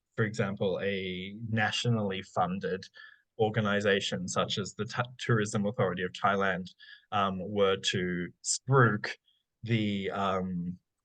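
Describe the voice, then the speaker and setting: In an Australian accent, a man speaks at a fairly slow pace with fairly even intonation. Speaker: academic researcher. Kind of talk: Q&A after lecture. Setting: online forum. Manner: hesitant, many fillers.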